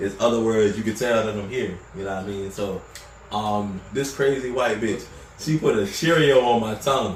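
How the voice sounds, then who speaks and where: With an audible echo from the room and noticeable background noise, a man talks at a fairly low pitch. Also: ordinary pitch variation, moderate pace. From Baltimore, Maryland, moved to North Carolina as a kid. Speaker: podcast guest. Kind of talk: casual chat.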